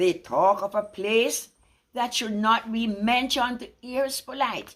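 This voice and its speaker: A woman talks at a very slow pace with a medium pitch. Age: 80s+. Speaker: poetry reciter. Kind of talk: poetry reading.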